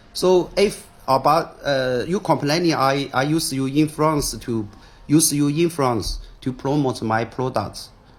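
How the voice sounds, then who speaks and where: A somewhat breathy voice with a Chinese accent. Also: man. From China. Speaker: businessman. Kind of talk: video statement responding to accusations. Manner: halting, repeated words and fillers.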